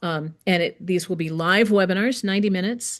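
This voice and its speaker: A woman speaks at a moderate pace in an ordinary speaking voice, pitched fairly low, with ordinary pitch variation. The background is quiet. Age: 60s. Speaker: massage educator and textbook author. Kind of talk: interview conversation. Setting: podcast interview.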